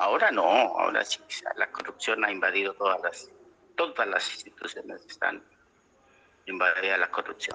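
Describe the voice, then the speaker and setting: A man speaks at a moderate pace with long, frequent pauses and big swings in loudness. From southern Colombia, Nariño (near Ipiales). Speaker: elderly interviewee recalling history. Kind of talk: oral history interview.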